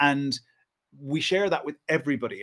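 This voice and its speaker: A man with an Irish accent, fairly high in pitch, at a moderate pace. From Ireland. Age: 40s. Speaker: historian and writer. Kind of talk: podcast interview.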